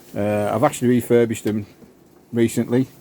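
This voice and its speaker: A man with a Cumbrian accent speaks in a dark, mellow tone with monotone, flat intonation. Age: 60s. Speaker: amateur golfer. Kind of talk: casual show-and-tell video.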